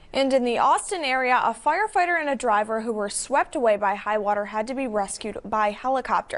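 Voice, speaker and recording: A high-pitched woman with lively intonation at a fairly quick pace, hardly any pauses, and noticeable background noise. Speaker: TV news anchor and reporter. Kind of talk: TV news read.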